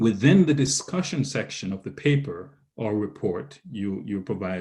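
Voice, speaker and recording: A man with a Jamaican accent speaks at a fairly slow pace and a fairly low pitch. His voice is somewhat breathy, with lively intonation. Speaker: researcher presenter. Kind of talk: lecture. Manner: halting.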